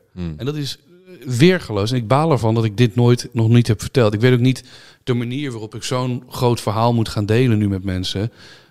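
A man with a plain, everyday voice speaks at a fairly quick pace and medium pitch, with ordinary pitch variation. The recording is very clean, with a silent background. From Netherlands. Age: 30s. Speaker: YouTuber and streamer. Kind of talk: casual interview.

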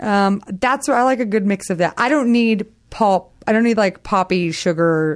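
A woman's unremarkable speaking voice, mid-pitched, with ordinary pitch variation, very even loudness and a moderate pace, in an American accent, on a very clean recording with a silent background. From Texas. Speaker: comedian and podcast co-host. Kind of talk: casual chat.

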